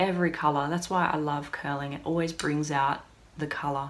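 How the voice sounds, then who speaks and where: Speaking in an Australian accent, a woman with a very deep, low pitch talks at a moderate pace. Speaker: hairdresser. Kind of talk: product review tutorial. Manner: animated.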